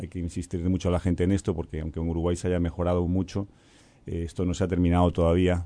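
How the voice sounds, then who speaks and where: A man speaks at a fairly quick pace in a very deep, low voice with a dark, mellow tone and monotone, flat intonation against a quiet background. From Spain, Galicia. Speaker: UN official. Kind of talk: radio interview.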